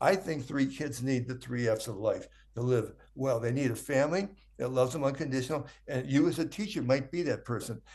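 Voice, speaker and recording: A man's somewhat breathy voice at medium pitch, with ordinary pitch variation, a fairly quick pace and a quiet background. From US inner city. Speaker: health educator and speaker. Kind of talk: podcast interview. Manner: fast; animated.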